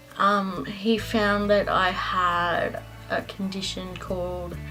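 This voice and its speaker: A woman talks with an Australian accent. Music plays in the background. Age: young. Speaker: cancer survivor. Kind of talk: casual storytelling to camera.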